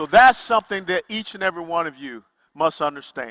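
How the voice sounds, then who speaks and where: A man with an American accent projects a raised, bright, sharp voice at a fairly quick pace with lively intonation. The recording is very clean, with a silent background and a dry, close sound with no echo. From US South. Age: 60s. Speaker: political speaker. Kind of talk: motivational speech.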